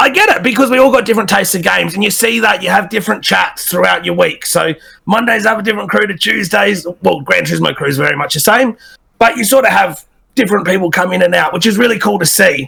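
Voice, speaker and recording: Talking at a very fast pace, a man sounds energetic. He speaks with an Australian accent. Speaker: game streamer. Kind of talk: podcast interview.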